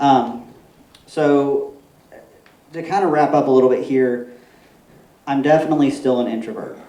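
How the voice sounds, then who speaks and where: Audible room echo and noticeable background noise around a man's fairly high-pitched voice. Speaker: permaculture consultant and speaker. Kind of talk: conference talk. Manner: fast.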